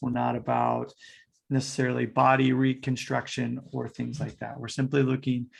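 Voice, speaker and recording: A man with an American accent, an ordinary speaking voice, medium pitch and a moderate pace. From United States. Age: 40s. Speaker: fitness coach. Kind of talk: podcast interview.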